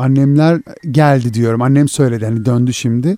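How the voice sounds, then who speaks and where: At medium pitch and a moderate pace, a man talks in a normal speaking voice with ordinary pitch variation. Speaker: podcast host. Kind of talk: casual chat.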